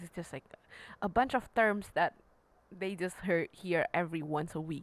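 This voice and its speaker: The pace is moderate, with lively intonation. It is an unremarkable speaking voice. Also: woman. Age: young. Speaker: podcast co-host and piano teacher. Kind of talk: casual chat.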